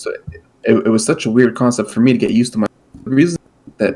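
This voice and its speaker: Medium pitch from a male speaker. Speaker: podcast co-host. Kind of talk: casual chat. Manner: halting, many fillers. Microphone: cutting out, microphone repositioned.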